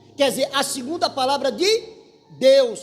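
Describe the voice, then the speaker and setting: Lively intonation carries a fairly slow pace, with music playing in the background. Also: man. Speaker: church elder preaching. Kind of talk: sermon.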